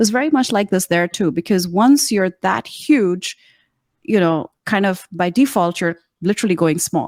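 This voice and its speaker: On a very clean recording with a silent background, a woman with an American accent speaks at a medium pitch and moderate pace with lively intonation, the sound dry and close with no echo. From Pakistan, Karachi. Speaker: communications coach. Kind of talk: interview.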